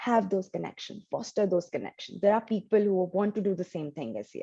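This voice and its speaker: This woman talks at a fairly quick pace in a medium pitch with vocal fry. Her tone is dark and mellow, and her intonation fairly even. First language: not English. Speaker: data scientist. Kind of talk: interview.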